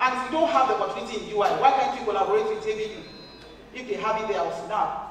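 A woman speaks with light background noise and audible room echo. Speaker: keynote speaker. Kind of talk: lecture. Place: hall.

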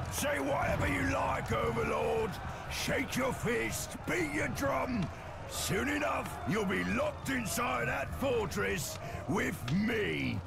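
A man shouts in a put-on character voice at a fairly slow pace. Sound effects play in the background amid loud background noise. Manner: menacing, taunting.

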